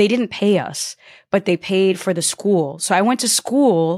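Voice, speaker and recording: A woman uses a normal speaking voice at a medium pitch with ordinary pitch variation. The sound is dry and close with no echo, in a very clean recording with a silent background. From US Northeast, Connecticut. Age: 30s. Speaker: entrepreneur and YouTuber. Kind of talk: interview.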